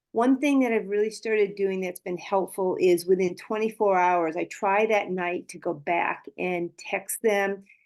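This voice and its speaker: A woman talks at a fairly slow pace with hardly any pauses. She has a plain, everyday voice, medium in pitch, with ordinary pitch variation. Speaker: network marketing team member. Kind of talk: sharing on a team call.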